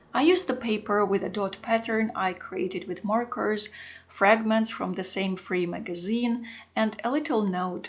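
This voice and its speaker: The speaker is a woman with a Russian accent and a medium pitch. She moves at a moderate pace with ordinary pitch variation. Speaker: art journaling YouTuber. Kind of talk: scripted narration.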